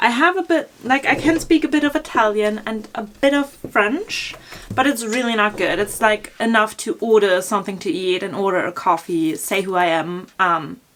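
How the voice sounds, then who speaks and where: A woman talks at a moderate pace, her fairly high voice swinging very widely in pitch. Noticeable background noise runs beneath her. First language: German. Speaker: fashion blogger. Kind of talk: Q&A vlog, casual chat. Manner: casual with many fillers (um, like).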